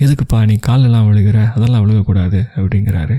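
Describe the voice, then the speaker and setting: A man speaks calmly in a fairly low, dark and mellow voice, somewhat breathy, with fairly even intonation, recorded dry and close with no echo. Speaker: radio jockey, storyteller. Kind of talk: emotional audio story narration. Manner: calm, conversational storytelling.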